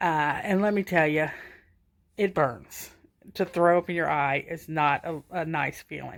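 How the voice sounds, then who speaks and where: A woman at a fairly slow pace with a slight Southern US accent, in a very clean recording with a silent background. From US South, Georgia. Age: 50s. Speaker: stroke survivor. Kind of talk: personal testimony. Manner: casual, halting.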